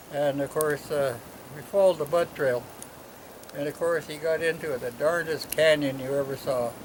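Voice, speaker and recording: Fairly high male voice at a moderate pace, fairly even intonation, with noticeable background noise. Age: 80s+. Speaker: hunter. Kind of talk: storytelling interview answer. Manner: casual, rambling.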